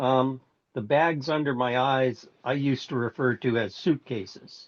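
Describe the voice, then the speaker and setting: A man's medium-pitched voice moves along very slowly. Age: 70s. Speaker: customer giving testimonial. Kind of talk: testimony. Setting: video call. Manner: halting.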